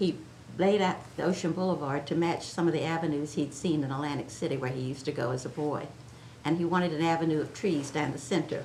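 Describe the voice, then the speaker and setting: The delivery comes at a very fast pace with fairly even intonation. Room echo is audible. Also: woman, very deep, low pitch for a woman. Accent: American. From Chincoteague Island, Virginia Eastern Shore. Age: 80s+. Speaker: oral history interviewee. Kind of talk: oral history interview. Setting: museum.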